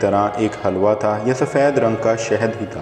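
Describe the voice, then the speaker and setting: Music plays in the background. Over it, a man speaks at a medium pitch. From Pakistan. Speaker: voice over artist. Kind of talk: Islamic story narration.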